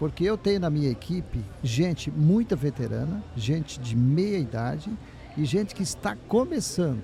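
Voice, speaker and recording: A man's somewhat breathy, dark and mellow voice, fairly high in pitch, with very wide pitch swings, at a moderate pace. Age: 60s. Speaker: business owner. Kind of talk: panel discussion.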